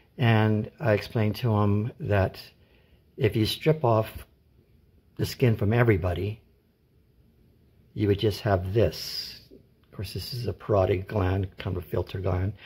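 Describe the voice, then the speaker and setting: The voice is somewhat breathy, with ordinary pitch variation and a fairly slow pace broken by long, frequent pauses. It is a very clean recording with a silent background. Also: man, fairly low pitch for a man. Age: 60s. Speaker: artist and scientific illustrator, former teacher. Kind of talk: casual tutorial. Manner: halting, many fillers and restarts.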